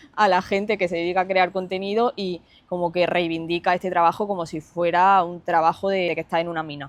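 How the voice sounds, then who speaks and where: A woman with a slight Granada accent talks at a fairly quick pace, with hardly any pauses. Her pitch is fairly low and her intonation is monotone and flat. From Spain, Andalusia (Granada, early childhood Lanzarote). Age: 20s. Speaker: fitness influencer and online coach. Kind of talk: personal storytelling vlog. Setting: seated, self-recorded video.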